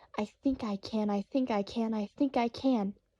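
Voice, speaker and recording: A woman uses a put-on character voice, fairly high in pitch. She is soft-spoken and keeps a moderate pace. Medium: read story. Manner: determined, hopeful.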